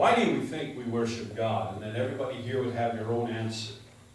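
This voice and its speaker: Strong room echo and light background noise surround a man talking at a fairly quick pace. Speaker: preacher. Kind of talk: sermon. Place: church.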